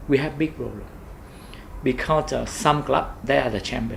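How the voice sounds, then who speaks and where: Here a man speaks with a Vietnamese accent at a moderate pace. There is noticeable background noise and audible room echo. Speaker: football club owner. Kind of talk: interview. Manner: halting.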